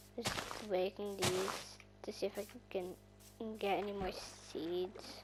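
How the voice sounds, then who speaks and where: A woman's very slow speech with long, frequent pauses over music in the background. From Ireland. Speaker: gaming YouTuber. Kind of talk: casual gameplay commentary. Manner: animated, excitable.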